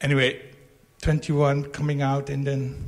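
This man's voice sits fairly high in pitch, somewhat breathy, and moves at a very slow pace. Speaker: retreat participant. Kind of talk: testimony. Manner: halting.

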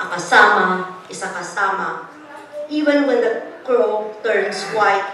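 A woman with lively intonation speaks at a fairly high pitch over noticeable background noise. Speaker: poet. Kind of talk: poetry reading, tribute poem read aloud to an audience. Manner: measured, solemn, heartfelt delivery with a warm, rhythmic cadence.

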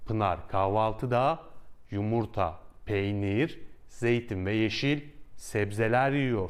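A man's fairly low voice, with ordinary pitch variation, moves at a very slow pace. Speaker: Turkish language teacher. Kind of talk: tutorial. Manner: clear, slow, repeats phrases for learners.

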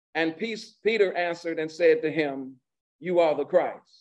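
A man's high voice, with normal pitch movement, comes through against a quiet backdrop. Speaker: pastor. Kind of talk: sermon. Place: church. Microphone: podium.

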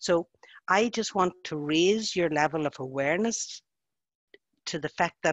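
The voice comes with a Northern Irish accent. Its sound is dry, with no echo. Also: woman. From Northern Ireland. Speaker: social worker and facilitator. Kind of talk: webinar presentation, spoken freely. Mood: gentle, caring, cautious. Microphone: video call.

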